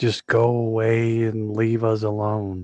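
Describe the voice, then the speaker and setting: A man puts on a character voice at medium pitch. He speaks at a fairly slow pace in a monotone, flat intonation. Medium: actual play.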